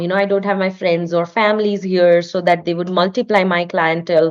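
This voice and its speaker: The background is quiet as a woman speaks at medium pitch. Her intonation is monotone and flat. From India. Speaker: artist and studio owner. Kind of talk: podcast interview.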